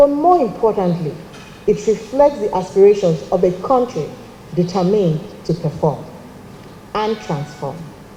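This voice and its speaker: A woman with a Nigerian accent speaks at a medium pitch and moderate pace, with lively intonation and long, frequent pauses over noticeable background noise. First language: Nigerian language, not English. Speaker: government climate official. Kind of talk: formal speech. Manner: formal.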